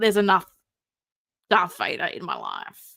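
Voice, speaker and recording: A woman mumbling in an Australian accent, her tone animated. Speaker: live streamer, collectible figure commentator. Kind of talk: casual live stream chat.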